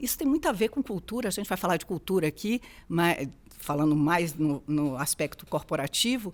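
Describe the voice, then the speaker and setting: A woman with a Bahian accent, medium in pitch with lively intonation, in a very clean recording with a silent background. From Bahia, Brazil. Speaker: HR executive. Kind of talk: interview conversation.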